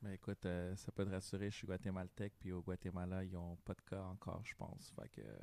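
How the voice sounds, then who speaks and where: With a dark, mellow tone and a very deep, low pitch, a man speaks at a fairly quick pace with hardly any pauses and fairly even intonation, on a very clean recording with a silent background. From Montreal, Quebec (Guatemalan family). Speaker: DJ. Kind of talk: casual chat.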